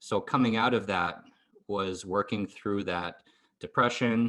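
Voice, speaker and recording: Over a quiet background, a man with an American accent speaks at a fairly slow pace and a fairly low pitch. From US Northeast, rural central Maine. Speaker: immigrant interviewee. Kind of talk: interview. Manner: hesitant.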